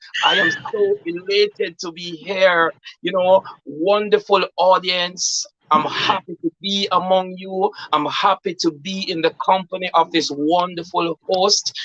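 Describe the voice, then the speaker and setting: A man talks fairly slowly at a high pitch with fairly even intonation. The sound is dry and close, with no echo. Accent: Jamaican. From Jamaica. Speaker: poet and author. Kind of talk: interview.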